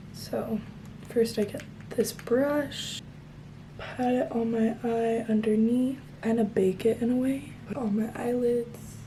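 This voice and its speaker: A woman at a very slow pace, monotone, flat intonation and audible room echo. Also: fairly high pitch for a woman. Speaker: beauty vlogger. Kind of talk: tutorial. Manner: soft-spoken.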